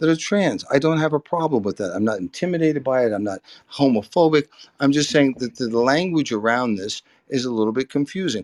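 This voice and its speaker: A man with a plain, everyday voice at a medium pitch, fairly quick and lively, in a dry, close sound with no echo and a quiet background. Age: 60s. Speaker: debate participant. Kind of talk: heated debate.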